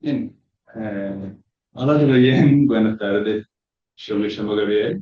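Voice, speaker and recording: A man with a Brazilian accent and a fairly low pitch speaks at a very slow pace. He uses ordinary pitch variation and takes long, frequent pauses. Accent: Brazilian accent in Spanish, noticeable. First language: Portuguese (speaking Spanish). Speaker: student presenter. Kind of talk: conference talk.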